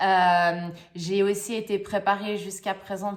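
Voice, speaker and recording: Monotone, flat intonation marks a woman's speech at a medium pitch. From Switzerland. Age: young. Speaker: life coach. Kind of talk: channel introduction monologue. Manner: halting, many hesitations and repeats.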